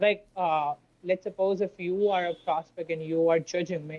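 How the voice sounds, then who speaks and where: A woman's fairly low, monotone, flat voice at a moderate pace. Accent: Indian. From India. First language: Hindi. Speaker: sales freelancer. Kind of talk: casual chat. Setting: call. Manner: halting. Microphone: keeps cutting out on the call.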